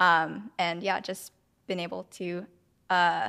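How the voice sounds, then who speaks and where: A woman with a fairly low pitch and fairly even intonation is captured on a very clean recording with a silent background. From San Francisco, US. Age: 20s. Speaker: photographer. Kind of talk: interview.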